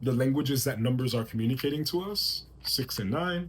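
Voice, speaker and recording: Somewhat breathy and at medium pitch, a man talks at a fairly quick pace with lively intonation. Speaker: tarot reader and spiritual channeler. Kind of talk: channeled tarot reading. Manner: fast; halting, self-correcting.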